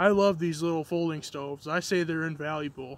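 A man with a high-pitched voice speaks at a fairly quick pace in a monotone, flat intonation, and the sound is dry with no echo. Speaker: outdoor gear reviewer. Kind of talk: casual review chat. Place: open country. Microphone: phone near.

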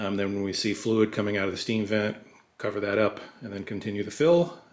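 A man with an ordinary speaking voice and fairly low pitch talks at a fairly quick pace. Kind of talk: casual vlog chat. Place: garage.

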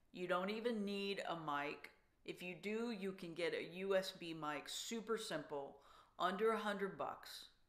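A normal speaking voice at a fairly slow pace with ordinary pitch variation. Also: woman, medium pitch for a woman. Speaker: songwriter and songwriting workshop leader. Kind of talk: online workshop talk. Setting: video call. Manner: warm and encouraging.

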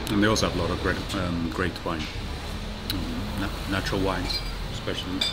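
A man talks at a moderate pace with music playing in the background. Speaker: travel vlogger. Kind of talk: casual vlog chat. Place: bar. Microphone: lapel.

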